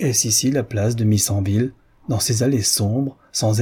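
The voice reads aloud in a natural manner.

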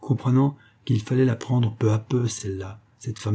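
Fairly even intonation in a plain reading aloud.

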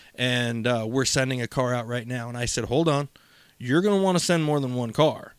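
Here is a man with an unremarkable speaking voice, medium in pitch. His pace is fairly quick, with ordinary pitch variation. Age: 30s. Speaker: podcast co-host. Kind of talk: casual chat.

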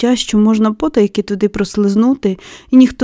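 This is read in an unforced reading voice. The delivery stays unforced throughout.

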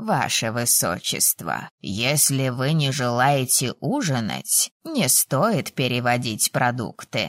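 A woman's put-on character voice at an extremely low pitch, slow and with few pauses, full of big pitch swings, in a dry, close sound with no echo.

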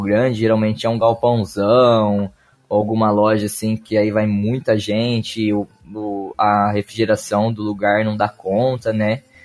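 In a plain, everyday voice, a man speaks at a moderate speed. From Brazil, Ribeirão Preto (São Paulo state). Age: 20s. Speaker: card game player. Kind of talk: casual chat.

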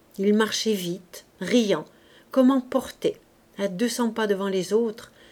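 Read aloud in a natural voice, the passage has ordinary pitch variation.

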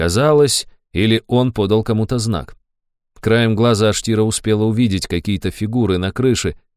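The background stays quiet. A voice reads in an unforced way.

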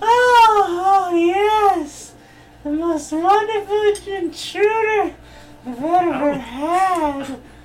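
A woman's extremely high voice, lively in intonation, at a very slow pace. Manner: swooning, then commanding.

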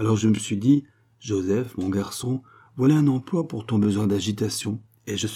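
This is reading aloud in a natural voice. Pitch variation is ordinary.

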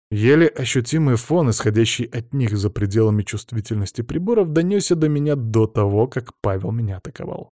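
Someone reads in a natural reading voice with lively intonation.

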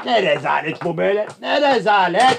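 A man uses a put-on character voice pitched high, with lively intonation and vocal fry. He talks at a fairly quick pace with a slightly husky edge.

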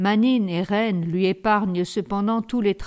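What you hear is an unforced reading voice.

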